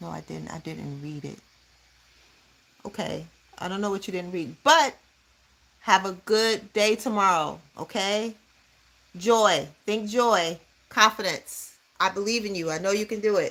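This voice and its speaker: Speaking with an American accent in a bright, sharp, animated tone, a woman at medium pitch talks fairly slowly with ordinary pitch variation, big swings in loudness and long, frequent pauses. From Chicago, US. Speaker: livestreamer, youth mentor. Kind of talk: casual livestream chat. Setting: home livestream doing her hair.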